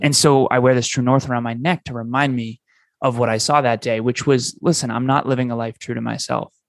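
A very fast, energetic man's voice at a medium pitch. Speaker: business coach. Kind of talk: interview.

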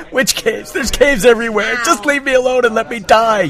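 A man puts on a character voice at an extremely high pitch, speaking at a very fast pace. Clear background noise runs underneath. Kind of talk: comic overacting. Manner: desperate, whiny, begging to die; exasperated, shouting.

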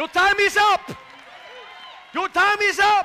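A man shouts at a fairly slow pace. His pitch is extremely high. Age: 60s. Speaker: pastor. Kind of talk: sermon. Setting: church. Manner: animated.

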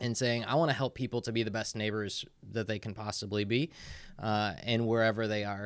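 A man with a Midwestern American accent, medium pitch, fairly even intonation and a fairly quick pace. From Indiana, US Midwest. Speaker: pastor. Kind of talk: casual interview.

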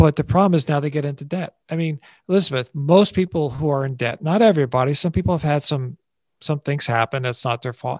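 Very fast and fairly high-pitched, a man talks with ordinary pitch variation in a dry, close sound with no echo and a quiet background. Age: 60s. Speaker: advertising veteran and stress-free living speaker. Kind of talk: interview conversation.

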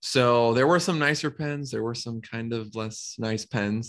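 With an American accent, a man speaks in a normal speaking voice at a medium pitch, using ordinary pitch variation and a moderate pace. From Minnesota, US Midwest. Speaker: reptile animal care professional. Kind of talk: podcast interview.

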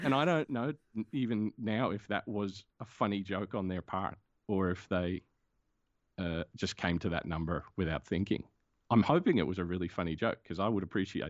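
The speaker has an Australian accent, a moderate pace and ordinary pitch variation. The sound is dry and close with no echo over a quiet background. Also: man, fairly low pitch for a man. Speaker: comics creator and animator. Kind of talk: casual interview.

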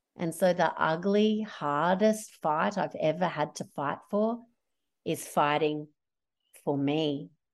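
In an Australian accent, a woman speaks at a fairly low pitch and a very slow pace, with ordinary pitch variation over a quiet background. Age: 40s. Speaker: social enterprise founder. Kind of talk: interview. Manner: animated.

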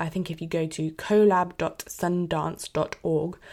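A British accent with monotone, flat intonation. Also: woman. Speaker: podcast host. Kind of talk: podcast intro.

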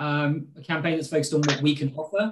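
A man's fairly high voice with a British accent. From Britain. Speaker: political advisor and spokesperson. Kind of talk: interview.

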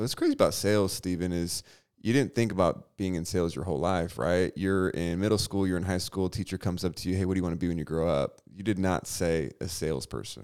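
In a very clean recording with a silent background, a man with a very deep, low pitch talks at a very fast pace with hardly any pauses. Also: ordinary pitch variation. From California. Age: 30s. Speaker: financial advisor and entrepreneur. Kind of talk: casual chat.

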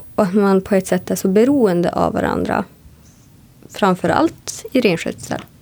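This woman has an unremarkable speaking voice with medium pitch and very even loudness. She talks at a moderate pace with lively intonation. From northern Sweden, Sámi (Jämtland and Kiruna area). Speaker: radio presenter. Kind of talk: interview. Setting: hotel room.

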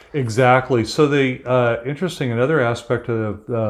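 An ordinary speaking voice moves at a moderate pace. The intonation stays fairly even. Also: man. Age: 60s. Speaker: ocean activist. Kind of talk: interview conversation. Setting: at his home.

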